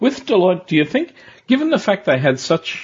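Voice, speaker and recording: Intonation is lively in this man's speech. There is a somewhat breathy quality to it. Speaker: podcast host. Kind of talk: interview.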